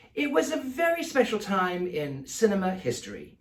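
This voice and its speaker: The speaker has a Mid-Atlantic accent. The pace is moderate. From American.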